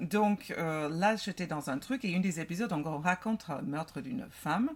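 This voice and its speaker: A woman with an American accent talks at a moderate pace. Her voice is fairly low, with lively intonation. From United States. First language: English (speaking French). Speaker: podcast co-host. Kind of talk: casual chat.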